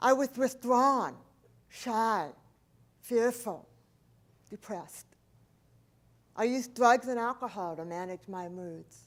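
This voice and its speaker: Very slow, fairly high female voice with ordinary pitch variation, big swings in loudness, and long, frequent pauses, in a very clean recording with a silent background. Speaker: motivational speaker. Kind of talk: motivational talk.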